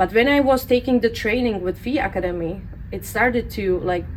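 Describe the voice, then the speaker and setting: A woman speaks with a Central European accent. Noticeable background noise is present. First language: non-English (European). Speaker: permanent makeup artist and educator. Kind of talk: interview.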